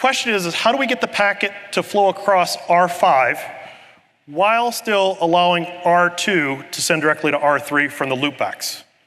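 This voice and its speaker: The man's voice sits at a high pitch with ordinary pitch variation. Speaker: conference presenter, network engineer. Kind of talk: technical lecture. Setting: conference session room with live audience. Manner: fast.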